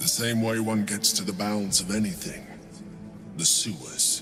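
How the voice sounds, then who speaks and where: A man's put-on character voice, fairly low in pitch, at a moderate pace with clear music in the background. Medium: game stream. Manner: measured, formal, aloof.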